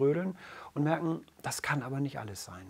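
Lively intonation and a moderate tempo from a man, an ordinary speaking voice, pitched fairly high. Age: 40s. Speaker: men's coach. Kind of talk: casual chat. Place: studio. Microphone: lapel.

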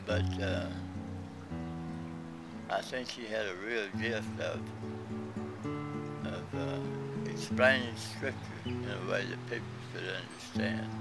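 Over loud background music, a man speaks at a very slow pace with long, frequent pauses. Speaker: son recalling his father. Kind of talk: interview answer. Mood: warm, reflective. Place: garden.

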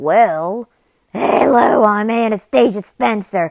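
In a put-on character voice that sounds female, the speaker talks at a very slow pace with a medium pitch for a woman.

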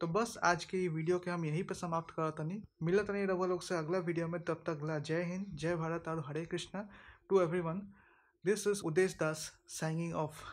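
At a moderate pace, a man talks in a high pitch with monotone, flat intonation. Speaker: food vlogger. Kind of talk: vlog outro asking viewers to like and share. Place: home room. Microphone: phone near.

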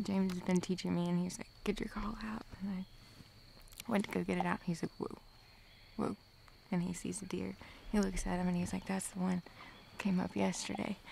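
The speech runs at a fairly quick pace, with light background noise and a dry sound with no echo. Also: woman. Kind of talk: casual storytelling. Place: forest. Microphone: camera far.

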